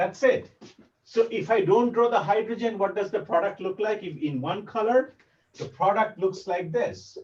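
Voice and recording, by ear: A man with a Bengali accent speaks at a moderate pace in a high pitch, his slightly mellow tone showing ordinary pitch variation amid audible room echo. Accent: Bengali-accented Indian English.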